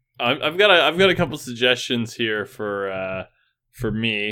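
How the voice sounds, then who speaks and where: Animated in tone, a man talks at a moderate pace in a medium pitch with ordinary pitch variation. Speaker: podcast co-host. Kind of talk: casual comedy banter. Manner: animated, joking.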